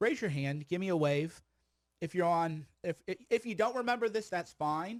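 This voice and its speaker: A man's high voice with lively intonation. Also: moderate pace, dry, close sound with no echo. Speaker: political commentator livestreamer. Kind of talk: casual livestream monologue. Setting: live video stream. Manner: halting, many fillers.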